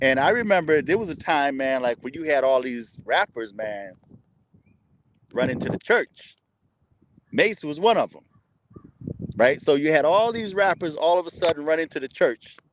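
With long, frequent pauses, a man speaks in very wide pitch swings and big swings in loudness over light background noise. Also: moderate pace, dry sound with no echo. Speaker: commentary vlogger. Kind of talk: casual vlog commentary. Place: open country. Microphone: phone near.

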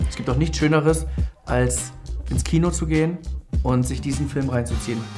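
A man talks at a moderate pace in a cheerful, confident tone. Clear music plays behind him. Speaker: comedian and voice actor. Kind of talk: casual promotional talk to camera about a film. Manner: cheerful, self-confident, joking. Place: studio. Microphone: lapel.

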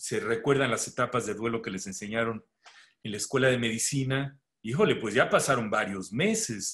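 Against a quiet background, a man with a Mexican accent talks with fairly even intonation. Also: medium pitch for a man, moderate pace. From Mexico. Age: 60s. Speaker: pediatrician and medical educator; medical educator. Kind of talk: webinar lecture. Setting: video call. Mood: relaxed, conversational. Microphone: video call.

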